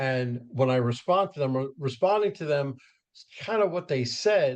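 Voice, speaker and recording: A man with lively intonation speaks in a normal speaking voice. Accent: American. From New York suburbs. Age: 60s. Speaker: podcast host and professional speaker. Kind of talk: casual interview. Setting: podcast interview.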